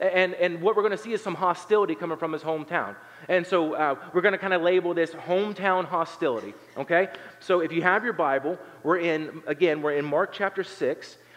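Through noticeable background noise, a man with an American accent talks at a fairly quick pace, his high pitch showing ordinary variation. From southern Ohio, Appalachia. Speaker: pastor. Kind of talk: sermon. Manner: hesitant fillers, conversational.

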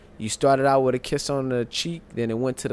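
A man's medium-pitched voice at a fairly quick pace, with fairly even intonation. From St. Louis, Missouri. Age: 30s. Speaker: podcast co-host. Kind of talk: casual chat. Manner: laughs often.

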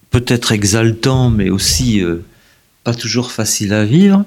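This man's voice is fairly low, with ordinary pitch variation. His pace is very slow. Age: 70s. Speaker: historian, professor emeritus. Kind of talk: interview. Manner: halting, many repetitions.

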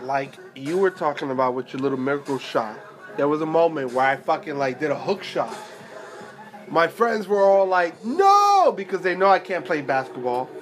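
Noticeable background noise sits behind a man with an American accent. His high pitch moves with lively intonation at a moderate pace. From New York. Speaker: tattoo shop podcast co-host. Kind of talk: casual chat.

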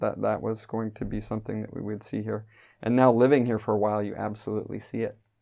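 Against a quiet background, a man speaks with a Midwestern American accent. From US Midwest, Wyoming. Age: 30s. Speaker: church elder. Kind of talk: interview.

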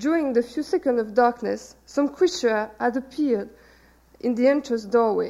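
A woman with a French accent talks at a moderate pace in a high pitch, with a dark, mellow tone and ordinary pitch variation. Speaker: novelist. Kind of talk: reading aloud. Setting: stage with audience.

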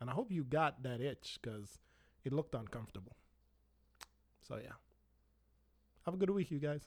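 A man talking at a fairly quick pace. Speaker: podcast host. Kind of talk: angry rant, unscripted solo monologue.

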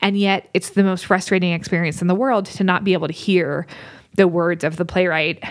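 A plain, everyday voice at a fairly quick pace, with fairly even intonation and very even loudness. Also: woman, medium pitch for a woman. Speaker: psychology professor and podcast co-host. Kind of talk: casual conversational podcast.

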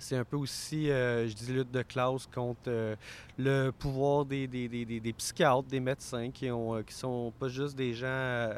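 On a very clean recording with a silent background, a man with a Quebec accent speaks at a very slow pace with fairly even intonation. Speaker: mental health worker and board member. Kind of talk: interview. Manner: intense.

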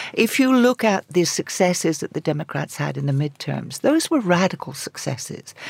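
Over noticeable background noise, a woman speaks at a moderate pace in a fairly low voice with very wide pitch swings. The sound is dry and close, without echo. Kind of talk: radio panel discussion. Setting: studio. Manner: halting, many repetitions.

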